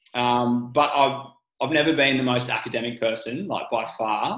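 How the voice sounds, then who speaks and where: Speaking with an Australian accent, a man keeps a medium pitch and fairly even intonation. His pace is fairly quick. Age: 20s. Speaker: strength coach and physiotherapy student. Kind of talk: casual interview chat.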